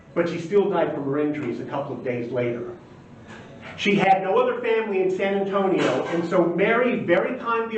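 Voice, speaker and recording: A man's high-pitched voice with very wide pitch swings at a fairly quick pace, amid noticeable background noise. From San Antonio, Texas. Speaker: magician and storyteller. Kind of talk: live storytelling performance.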